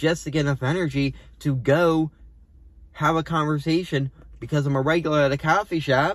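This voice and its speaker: A man speaks in a somewhat breathy voice. The sound is dry, with no echo. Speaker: stand-up comedian. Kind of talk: comedic monologue, casual vlog chat. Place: car. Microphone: phone near.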